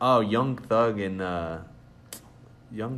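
A man with an American accent speaks at a very slow pace in audible room echo. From Texas. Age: 20s. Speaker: podcast host. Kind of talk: casual chat. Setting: library conference room. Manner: halting, many fillers.

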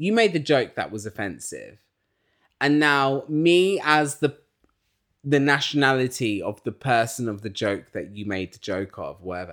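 An animated man with an English accent swings very widely in pitch, recorded very cleanly with a silent background. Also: medium pitch for a man, moderate pace. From England. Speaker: podcast host and musician. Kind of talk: casual chat.

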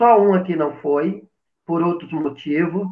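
Ordinary pitch variation colors a man's fairly slow delivery. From Brazil, Paraíba; moved to São Paulo at about 10. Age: 50s. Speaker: drag queen, actress and math teacher. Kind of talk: casual interview on a live stream.

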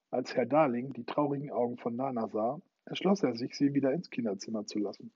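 A natural voice reads aloud with lively intonation, the background quiet.

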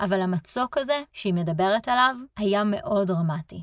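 A woman with a plain, everyday voice talks at a medium pitch with lively intonation. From Israel. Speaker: podcast host and relocation coach. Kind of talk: solo podcast monologue.

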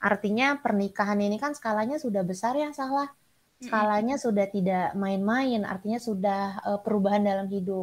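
A woman with a plain, everyday voice speaks at a moderate pace in a medium pitch with ordinary pitch variation. The recording is very clean, with a silent background. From Sumatra, Indonesia. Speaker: clinical psychologist and lecturer. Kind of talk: interview.

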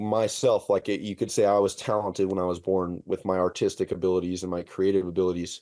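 In a quiet background, a man with a Californian accent talks at a fairly quick pace. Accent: Californian American. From Southern California. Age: 30s. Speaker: custom auto shop owner and fabricator. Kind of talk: casual interview.

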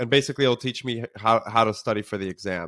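Fairly quick male speech with lively intonation and a bright, sharp tone, in a very clean recording over a silent background. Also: dry, close sound with no echo. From Israel. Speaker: startup founder and CEO. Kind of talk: casual interview conversation. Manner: casual, conversational, uses many fillers.

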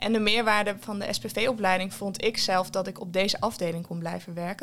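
This woman has an ordinary speaking voice at a medium pitch. She keeps a moderate pace with fairly even intonation. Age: 20s. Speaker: community psychiatric nurse. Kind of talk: interview conversation. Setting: at her workplace.

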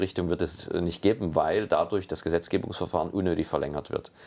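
Against a quiet background, a man speaks in a very deep, low pitch with ordinary pitch variation. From Saxony, Meißen. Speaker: wine industry executive. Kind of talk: interview. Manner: halting, many fillers.

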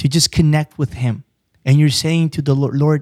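Dry, close sound with no echo carries a man's somewhat breathy voice at a moderate pace. His pitch is fairly high and his intonation fairly even. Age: 20s. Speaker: preacher and business owner. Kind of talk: casual chat. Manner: halting.

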